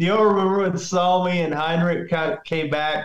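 Speaking at a moderate pace, the man has a high pitch and a monotone, flat intonation. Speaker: old friend reminiscing on a podcast.

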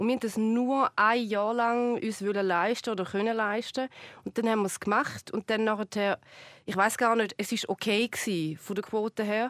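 At a moderate pace and fairly high pitch, a woman talks with fairly even intonation in a very clean recording with a silent background and a dry, close sound with no echo. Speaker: TV presenter and comedian. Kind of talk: casual chat. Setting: studio.

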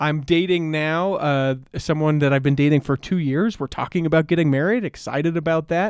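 Over a quiet background with a dry, close sound and no echo, a man with an ordinary speaking voice talks at a fairly quick pace with hardly any pauses, fairly high pitch, and fairly even intonation. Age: 30s. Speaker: podcast guest. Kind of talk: casual chat.

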